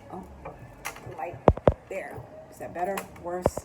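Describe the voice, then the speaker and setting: A calm, relaxed tone at a fairly slow pace in an American accent, with noticeable background noise. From Caribbean American. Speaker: tarot and oracle card reader. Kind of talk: casual talk to camera. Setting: outdoors.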